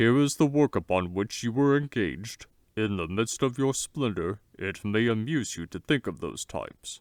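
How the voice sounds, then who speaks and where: Using a put-on character voice at medium pitch, a man talks at a moderate pace with lively intonation in a very clean recording against a silent background. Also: dry, close sound with no echo. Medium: read story. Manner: warm, courtly, reassuring.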